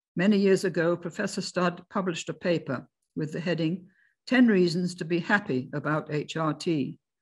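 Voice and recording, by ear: A woman speaks in a fairly low register with a slightly husky edge and ordinary pitch variation. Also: moderate pace.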